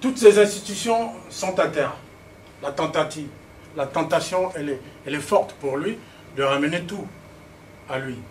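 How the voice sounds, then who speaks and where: A man talks at a moderate pace with a fairly high pitch and lively intonation. His loudness swings widely, and he takes long, frequent pauses. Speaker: political speaker. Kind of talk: political speech with slides. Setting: public meeting in Paris. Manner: halting, many repetitions and fillers.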